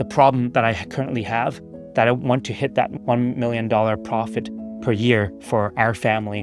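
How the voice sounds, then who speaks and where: Music plays in the background as a man speaks at a moderate pace. His pitch is medium, with fairly even intonation. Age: 40s. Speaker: real estate investor. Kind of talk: casual talk to camera. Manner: halting, some stuttering.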